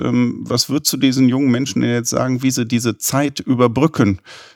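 An unremarkable speaking voice moves at a fairly slow pace with fairly even intonation. The sound is dry and close, with no echo. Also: man. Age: 50s. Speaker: podcast host, business development director. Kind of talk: interview.

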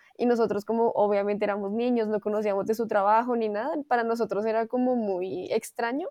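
A woman talks at a very fast pace in a fairly high pitch. Her tone is dark and mellow, with fairly even intonation. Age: 20s. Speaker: dancer, university dance student. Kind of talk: interview conversation.

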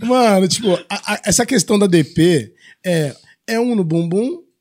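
A man speaks at a very slow pace with lively intonation. His pitch is high. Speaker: adult film actor. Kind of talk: casual chat. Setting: studio. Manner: varying loudness.

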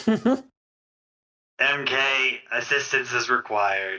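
A man uses a put-on, robotic character voice. He speaks at a fairly slow pace. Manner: repetitive announcement.

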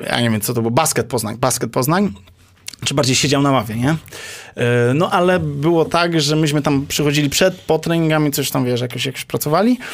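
A man's fairly high voice, a plain, everyday voice, with ordinary pitch variation at a fairly quick pace. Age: 30s. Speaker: basketball coach. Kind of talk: casual interview.

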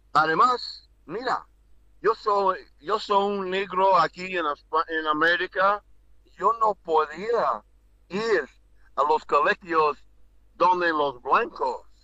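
A man with an English accent and a high voice speaks at a very slow pace, with ordinary pitch variation and long, frequent pauses. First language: English (speaking Spanish). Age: 60s. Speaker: former basketball player and coach. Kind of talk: casual chat. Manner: halting.

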